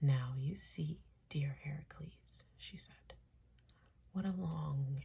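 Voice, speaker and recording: Soft-spoken, this speaker delivers the words at a very slow pace. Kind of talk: ASMR soft spoken reading of mythology. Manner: soft-spoken, relaxing.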